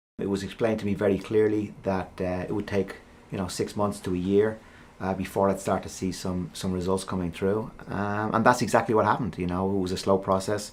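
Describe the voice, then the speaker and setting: This man has an Irish accent and a fairly low pitch. He talks at a fairly quick pace in a flat, monotone way. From Ireland. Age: 50s. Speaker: professional golfer. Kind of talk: interview answer. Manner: casual, hesitant.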